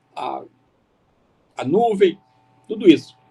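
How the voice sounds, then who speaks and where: A man speaks with lively intonation. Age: 80s+. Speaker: keynote speaker. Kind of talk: lecture. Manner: halting.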